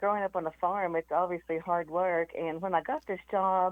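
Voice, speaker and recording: A woman speaks with a Southern accent at a medium pitch, her pitch rising and falling in an ordinary way. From US South, East Tennessee. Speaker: former company CEO. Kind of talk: interview.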